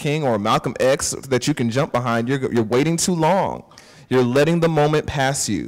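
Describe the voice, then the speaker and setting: A man talks at a fairly quick pace with a fairly high pitch. His pitch varies in an ordinary way. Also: quiet background. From US South. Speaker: activist and liturgy organizer; panelist. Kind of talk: panel discussion. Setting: church forum with live audience. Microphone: handheld.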